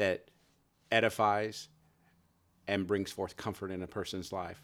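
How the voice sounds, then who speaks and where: On a very clean recording with a silent background, a man speaks with a fairly low pitch and an American accent. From California (San Jose). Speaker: prophet, preacher. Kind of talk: casual interview. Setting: church upper room.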